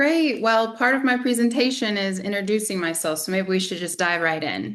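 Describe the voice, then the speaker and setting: Speaking with a slight Southern US accent, a woman uses lively intonation at a medium pitch. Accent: slight Southern drawl. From US South. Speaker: community organizer and podcaster. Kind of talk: presentation.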